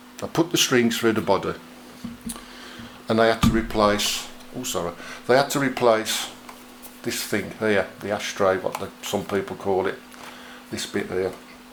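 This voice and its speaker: Amid noticeable background noise, a man talks at a moderate pace and medium pitch, with ordinary pitch variation and long, frequent pauses. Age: 60s. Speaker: musician and guitar video maker. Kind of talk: casual to-camera tutorial. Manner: chatty, animated.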